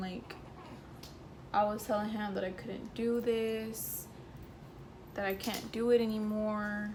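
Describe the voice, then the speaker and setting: The voice is monotone, with flat intonation, at a fairly slow pace. Noticeable background noise sits behind it. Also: woman. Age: young. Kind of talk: casual story time to camera.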